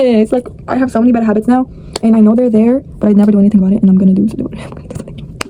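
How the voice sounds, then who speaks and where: Fairly even intonation from a fairly high-pitched woman, with noticeable background noise. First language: not English. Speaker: vlogger. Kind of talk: casual vlog monologue.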